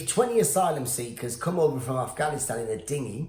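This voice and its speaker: A man in a British accent, pitch swinging very widely, with audible room echo. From Iran, raised in UK. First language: Farsi. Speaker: stand-up comedian. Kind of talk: comedic rant. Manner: animated.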